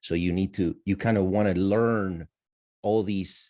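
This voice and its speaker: A man with a non-native accent and a dark, mellow tone speaks at a fairly low pitch and fairly slow pace in a very clean recording with a silent background. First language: not English. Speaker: audience member asking a question. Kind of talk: Q&A discussion. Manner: animated.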